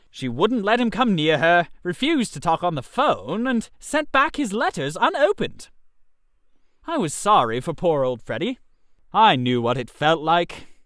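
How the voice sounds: A man puts on a character voice, pitched high with big pitch swings. His tone is fairly bright and his pace fairly slow.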